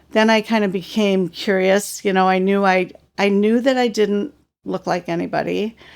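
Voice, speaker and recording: In a very clean recording with a silent background, a woman talks at a moderate pace and medium pitch. She has an unremarkable speaking voice with fairly even intonation. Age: 60s. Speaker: adoptee sharing life story. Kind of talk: interview testimony.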